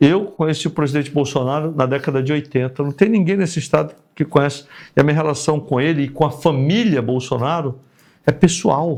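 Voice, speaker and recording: Against a quiet background, a man speaks at a fairly quick pace with a fairly high pitch. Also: ordinary pitch variation. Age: 60s. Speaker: politician, retired army colonel. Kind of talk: interview. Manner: animated.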